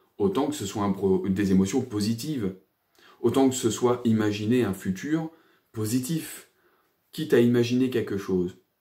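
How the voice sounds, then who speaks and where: A man's dark, mellow voice at a fairly slow pace, with ordinary pitch variation and a quiet background. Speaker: personal development coach and energy therapist; therapist or coach. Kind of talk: casual video monologue. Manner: hesitant, many fillers; animated. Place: home room. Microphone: phone near.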